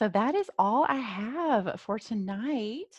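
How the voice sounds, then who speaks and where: A woman's medium-pitched, ordinary speaking voice with lively intonation, dry and close with no echo. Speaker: life coach. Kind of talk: webinar presentation. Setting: live webinar.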